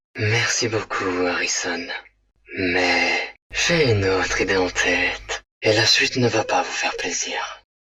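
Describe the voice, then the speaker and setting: A man does a cartoonish character voice. He talks at a fairly slow pace with a fairly low pitch. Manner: polite, measured.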